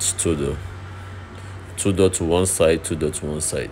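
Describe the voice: A man talks with an extremely low pitch and a slightly mellow tone. His intonation is fairly even. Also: moderate pace.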